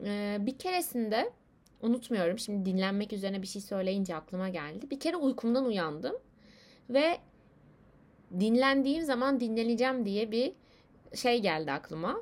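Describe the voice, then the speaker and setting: A woman talks at a moderate pace with fairly high pitch and very wide pitch swings. Her speech has long, frequent pauses. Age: 20s. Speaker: podcaster. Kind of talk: personal monologue. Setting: alone at home, late at night. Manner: hesitant, many fillers. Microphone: laptop microphone.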